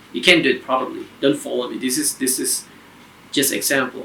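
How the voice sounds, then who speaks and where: A man talks with a non-native accent. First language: not English. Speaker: guitar teacher. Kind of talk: tutorial.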